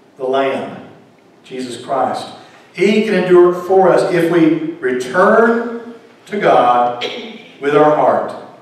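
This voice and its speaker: In a strongly echoing room, a man with a high pitch speaks at a very slow pace with long, frequent pauses. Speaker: preacher, pastor. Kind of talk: sermon delivered to a congregation. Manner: calm, measured, non-shouting. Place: church.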